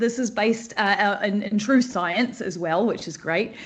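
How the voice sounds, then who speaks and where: Somewhat breathy and fairly high-pitched, this woman talks at a moderate pace with lively intonation. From New Zealand. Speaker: creative director teaching a class. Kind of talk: online live class talk. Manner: speeds up when excited; bubbly.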